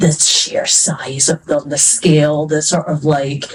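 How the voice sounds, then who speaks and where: A woman speaks with a Scottish accent. Her voice is somewhat breathy. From Scotland. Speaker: fantasy author. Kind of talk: panel discussion. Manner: casual, hesitant with fillers.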